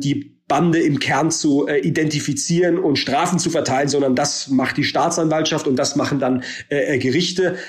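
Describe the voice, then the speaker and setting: At a moderate pace, a man with a fairly high pitch and fairly even intonation is heard with audible room echo. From Germany, Baden-Württemberg. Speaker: politician, member of parliament. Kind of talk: interview. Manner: halting, many filler sounds.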